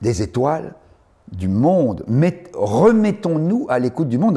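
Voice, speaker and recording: With a dark, mellow tone and a somewhat breathy quality, the man's pitch swings very widely. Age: 70s. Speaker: journalist and writer. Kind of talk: interview. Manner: animated, repetitive.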